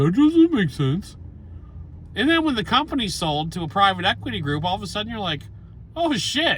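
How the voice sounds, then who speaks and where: Shouting loudly at a high pitch, a man swings his pitch very widely at a moderate pace, leaving long, frequent pauses. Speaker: gun channel host. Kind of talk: monologue to camera. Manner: loud, yelling.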